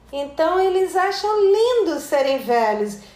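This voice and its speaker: Speaking at a fairly slow pace, a woman uses lively intonation amid audible room echo. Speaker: anthropologist and author. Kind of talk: interview.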